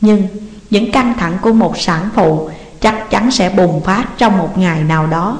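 Someone is reading aloud in a natural voice, with ordinary pitch variation.

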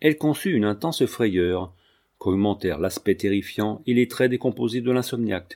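The pitch variation here is ordinary. It belongs to a natural reading voice.

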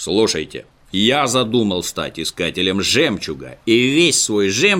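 Reading done in an unforced voice

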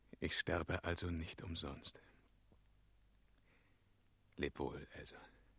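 In a put-on character voice, a man speaks slowly at an extremely low pitch, his bright, sharp tone carrying a slightly husky edge over fairly even intonation.

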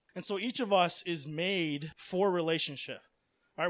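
A man with an American accent talks at a moderate pace in a high pitch with fairly even intonation, captured in a very clean recording with a silent background. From US, Miami, Florida. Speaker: missionary. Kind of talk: religious talk; Q&A answer. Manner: casual, filler-heavy.

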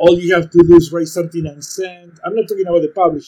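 Speaking at a very fast pace, this man has a high-pitched voice. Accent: Spanish. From Argentina, Buenos Aires. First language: Spanish. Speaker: poet. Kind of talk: casual chat. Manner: halting.

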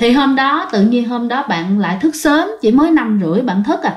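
Moderate pacing paired with lively intonation. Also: woman.

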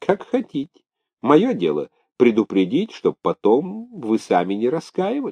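Putting on a character voice, a man speaks at a fairly slow pace and medium pitch, with very wide pitch swings, a dark, mellow tone with a slightly husky edge, and a dry, close sound with no echo.

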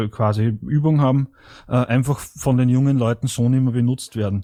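A man with an Austrian accent, medium-pitched with a dark, mellow tone, fairly slow and fairly even in intonation, on a dry, close recording with no echo. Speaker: party member reporting from abroad. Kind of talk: online meeting discussion. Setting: online voice chat.

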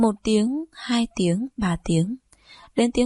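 A plain read-aloud delivery

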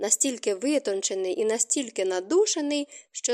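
The reading voice is unforced, and the intonation is lively.

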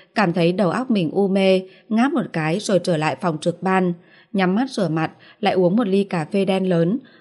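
What you hear is plain reading aloud.

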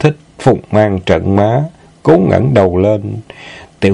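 The speaker uses a natural reading voice. The pitch shows ordinary variation.

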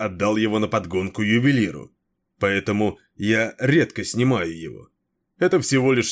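Against a quiet background comes plain reading aloud with ordinary pitch variation.

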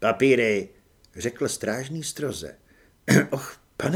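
Ordinary pitch variation in plain reading aloud

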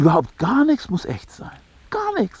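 Using a put-on character voice, a man speaks at a moderate pace in a high pitch with very wide pitch swings, a slightly mellow tone and a slightly husky edge.

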